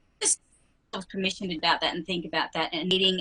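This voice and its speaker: A woman talks at a very fast pace in an Australian accent. Her fairly low voice is monotone and flat, with a bright, sharp tone. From Western Australia. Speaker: RV traveler. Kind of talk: casual interview.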